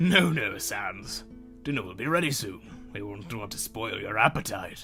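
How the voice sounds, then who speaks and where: In a put-on character voice, a man sounds raspy at a medium pitch and a moderate pace, with clear music playing behind him. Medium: fan dub.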